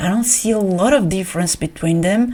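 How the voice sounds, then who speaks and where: A woman speaks with a non-native accent. Her voice is somewhat breathy. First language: not English. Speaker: art YouTuber. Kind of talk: casual vlog. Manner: halting, many repeats; animated.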